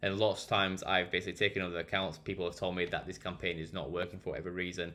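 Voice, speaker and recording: A Yorkshire accent at a very fast pace. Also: man. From Barnsley, South Yorkshire, England. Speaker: digital marketing consultant. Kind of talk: screen-share tutorial talk. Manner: casual, with frequent fillers.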